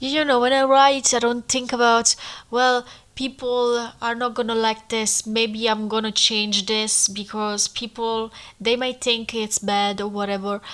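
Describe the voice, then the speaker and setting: A woman with a non-native accent speaks at a fairly slow pace in a fairly high pitch. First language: not English. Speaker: podcaster writing a memoir. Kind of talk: casual monologue. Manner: animated.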